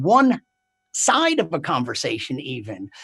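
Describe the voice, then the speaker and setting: His pitch swinging very widely, a man speaks. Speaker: stand-up comedian. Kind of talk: stand-up comedy set.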